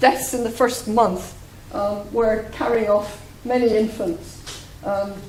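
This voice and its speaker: A woman with a Scottish accent, fairly high pitch and fairly even intonation, at a fairly slow pace, with audible room echo and noticeable background noise. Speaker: demography researcher. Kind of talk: lecture. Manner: hesitant, many fillers.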